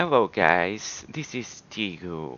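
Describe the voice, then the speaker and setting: This man talks at a very slow pace. He has a non-native accent. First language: not English. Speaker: gadget reviewer. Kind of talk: product review tutorial. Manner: halting.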